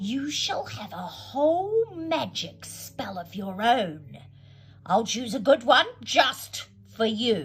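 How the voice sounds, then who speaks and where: A female-sounding put-on character voice speaks very slowly at a fairly high pitch. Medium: read story.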